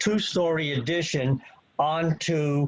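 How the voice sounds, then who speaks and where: Noticeable background noise runs behind a man's voice. He speaks very slowly at a fairly high pitch. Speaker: professional engineer and planner. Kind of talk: expert testimony at a public hearing. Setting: video call.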